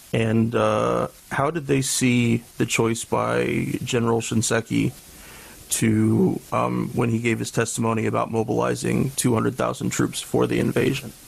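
Over noticeable background noise, a man talks at a fairly slow pace with very even loudness. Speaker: podcast co-host and military veteran. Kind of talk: scripted reading.

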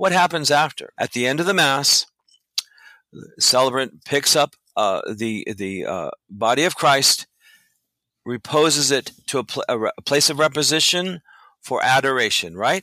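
In an American accent, a man with a fairly high pitch talks fairly slowly in a bright, sharp tone with lively intonation, the sound dry and close with no echo. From Los Angeles, US. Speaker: church musician and liturgist. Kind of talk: interview. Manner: halting, repeats words.

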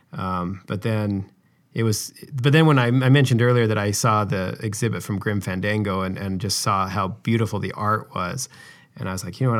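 A man with an American accent, fairly low pitch, and ordinary pitch variation. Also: very clean recording, silent background. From Utah. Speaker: video game animator. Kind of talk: interview. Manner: halting, many fillers.

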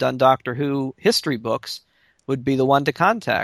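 A man with a plain, everyday voice speaks in an American accent at a fairly high pitch and a fairly quick pace. The recording is very clean with a silent background, and the sound is dry and close with no echo. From Baltimore, Maryland. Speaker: podcast co-host. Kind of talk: casual chat.

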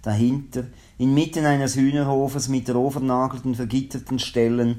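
A man with a Swiss accent talks in a medium pitch. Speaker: radio host. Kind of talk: reading aloud; radio presenting.

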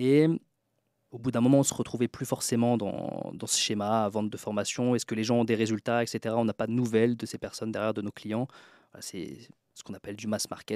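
Recorded very cleanly against a silent background, with a dry, close sound and no echo, a man speaks fairly quickly at a medium pitch, his tone dark and mellow and his intonation fairly even. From France, Troyes (Aube). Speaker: author and book publisher. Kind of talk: podcast interview.

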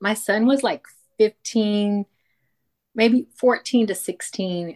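A woman's plain, everyday voice at a fairly slow pace, with ordinary pitch variation and a dry, close sound free of echo. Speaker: retired teacher and podcaster. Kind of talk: casual chat.

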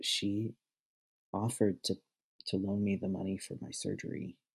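A man with fairly low pitch and a somewhat breathy voice speaks at a moderate pace. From Arkansas. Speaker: seminary student. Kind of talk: casual chat.

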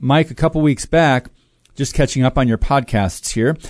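A man talks in an ordinary speaking voice at a medium pitch. His pitch variation is ordinary, and the background is quiet. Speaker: co-host reading listener mail.

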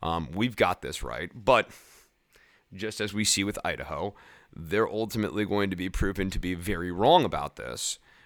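A man with an American accent talks at a moderate pace in a fairly low pitch, with ordinary pitch variation. His is an unremarkable speaking voice, and the recording is very clean with a silent background. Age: 30s. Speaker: political podcast host. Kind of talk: solo commentary podcast. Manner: casual, filler-heavy.

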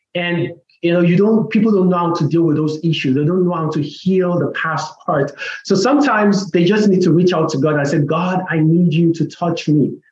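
With an American accent, a man talks at a fairly quick pace in a high pitch with ordinary pitch variation. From Nigeria. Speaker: pastor and author. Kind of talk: interview about faith.

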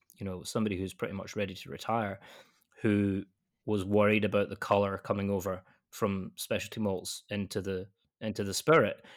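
Fairly low-pitched male speech in a Scottish accent, fairly quick and fairly even in intonation, on a very clean recording with a silent background. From west coast of Scotland. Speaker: malt company technical sales manager. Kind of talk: casual interview.

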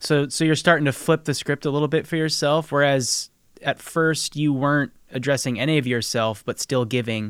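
An unremarkable speaking voice with an American accent, at a moderate pace and with fairly even intonation. The recording is very clean with a silent background, and the sound is dry and close with no echo. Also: man, fairly high pitch for a man. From Nebraska, US Midwest. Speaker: podcast host and producer. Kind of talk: interview.

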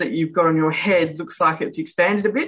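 A woman with an Australian accent talks in a fairly low pitch with fairly even intonation. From Western Australia, Perth. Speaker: author and speaker. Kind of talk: interview.

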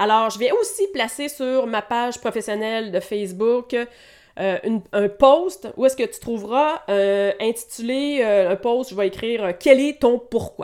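In a very clean recording with a silent background, a speaker with a Quebec accent talks at a fairly slow pace with ordinary pitch variation and hardly any pauses. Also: woman, fairly high pitch for a woman. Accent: Québécois French. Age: 40s. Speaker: massage therapist and wellness coach. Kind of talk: solo podcast monologue.

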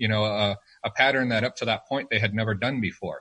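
A bright, sharp tone in a dry, close sound with no echo. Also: man. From Arizona, rural. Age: 30s. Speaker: firearms retail company representative. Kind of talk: casual interview chat. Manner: hesitant, many fillers and restarts.

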